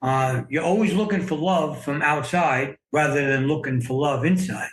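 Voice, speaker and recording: This man has a fairly high pitch, ordinary pitch variation, a somewhat breathy quality and very even loudness. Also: moderate pace. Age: 60s. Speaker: memoir author sharing life story. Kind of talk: podcast interview, personal testimony. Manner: hesitant, many fillers and repeats.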